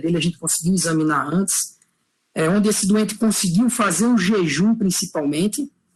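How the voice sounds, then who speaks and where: His pitch high, a man talks at a fairly quick pace with ordinary pitch variation. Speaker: physician lecturer. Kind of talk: lecture. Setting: online class. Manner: fast.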